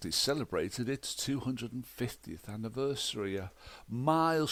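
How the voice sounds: A natural reading voice carries the clip.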